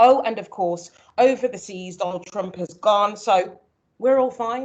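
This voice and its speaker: With a Birmingham accent, a woman speaks at a moderate pace with lively intonation. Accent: Birmingham (Brummie). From Birmingham, England. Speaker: early years consultant, former nursery manager. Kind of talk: seminar presentation.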